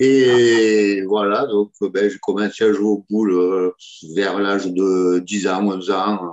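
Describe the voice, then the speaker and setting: A man's fairly low pitch with fairly even intonation. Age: 60s. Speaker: petanque player. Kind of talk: interview. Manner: hesitant, many fillers.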